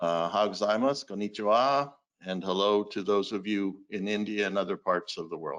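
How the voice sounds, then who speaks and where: Using a plain, everyday voice, a man talks at a moderate pace with a fairly low pitch. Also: ordinary pitch variation. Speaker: sales executive. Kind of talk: business presentation.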